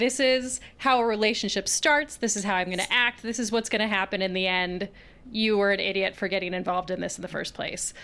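A woman talks fairly quickly in a bright, sharp tone. Her pitch sits in the medium range, with ordinary variation. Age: 20s. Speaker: science communications writer. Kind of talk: casual chat.

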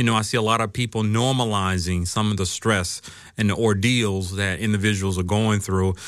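Delivered at a fairly quick pace with an American accent, a normal speaking voice holds very even loudness and fairly even intonation on a very clean recording with a silent background. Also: man, fairly low pitch for a man. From US South, Atlanta. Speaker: counseling professor and therapist. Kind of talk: interview.

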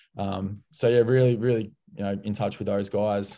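A man speaks at a moderate pace with a dark, mellow tone. His pitch is medium and his intonation fairly even. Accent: Australian. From Melbourne, Australia. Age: 20s. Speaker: former football player, player manager. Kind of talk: interview.

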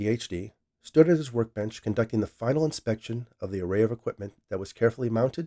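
Against a quiet background, lively intonation colors someone reading aloud in a natural voice.

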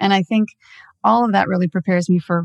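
A woman with an American accent has a normal speaking voice and ordinary pitch variation. The sound is dry and close with no echo, against a quiet background. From Southern California. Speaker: automotive marketing executive. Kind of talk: interview.

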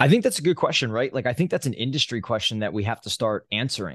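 A man with a New Jersey accent speaks with lively intonation in a dry, close recording with no echo and a quiet background. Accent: New Jersey American. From US Northeast, New Jersey. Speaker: exhibit company CEO. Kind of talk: interview.

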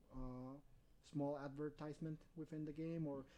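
A man speaks with a Spanish accent at a fairly high pitch for a man. His tone is dark and mellow. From Peru. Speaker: games sales and marketing. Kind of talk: casual interview.

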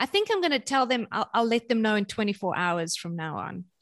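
With a South African accent, a woman talks at a moderate pace over a quiet background. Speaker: parenting author and speaker. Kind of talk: casual interview chat.

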